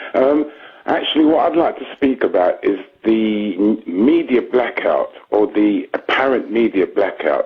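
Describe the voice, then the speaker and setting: A man talks at a fairly slow pace. Behind him, music is playing. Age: 60s. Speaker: caller. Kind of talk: radio phone-in. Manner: formal.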